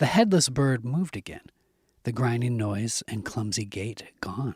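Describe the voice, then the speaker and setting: Soft-spoken and somewhat breathy, a man talks at a moderate pace and medium pitch with lively intonation, the sound dry and close with no echo. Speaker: audiobook narrator. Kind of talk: horror audiobook reading. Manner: soft, ASMR-style, tense.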